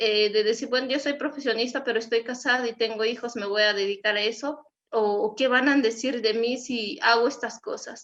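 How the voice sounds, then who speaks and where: A woman speaks with a western Mexican accent at a high pitch. Her intonation stays fairly even over a quiet background. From Mexico, Wixárika community. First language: Wixárika (speaking Spanish). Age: young. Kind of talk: panel discussion.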